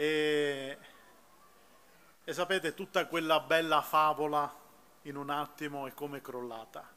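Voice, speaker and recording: A man with a Sicilian accent, a fairly high pitch and a bright, sharp tone. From Sicily, moved to Veneto as a child; Sicily, Italy. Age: 40s. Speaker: church member giving testimony. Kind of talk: testimony. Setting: outdoor public square concert with audience. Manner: halting. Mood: earnest, emotional. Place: stage. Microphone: podium.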